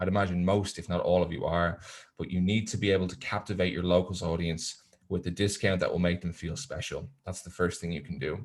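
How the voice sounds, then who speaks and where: A man with a Dublin accent speaks with a very deep, low pitch. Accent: Irish, Dublin, moderately strong. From Ireland, Dublin. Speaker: tourism software presenter. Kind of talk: webinar presentation. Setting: online webinar. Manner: hesitant, many fillers.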